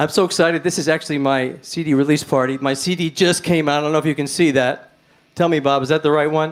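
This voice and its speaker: Talking very fast, a man with a New York accent speaks at a fairly high pitch. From New York City, Manhattan. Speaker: blues rock guitarist and singer. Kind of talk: stage banter between songs. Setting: live-streamed club gig. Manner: chatty, animated.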